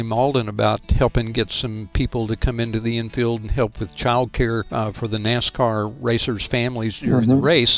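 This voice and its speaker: A man at medium pitch and a fairly quick pace, monotone and flat, with hardly any pauses and music in the background. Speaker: ministry director and podcast host. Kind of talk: podcast interview question.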